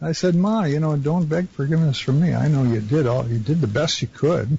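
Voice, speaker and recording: A man with a fairly high, somewhat breathy voice talks at a fairly quick pace with ordinary pitch variation and very even loudness. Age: 70s. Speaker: caller. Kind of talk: phone-in conversation.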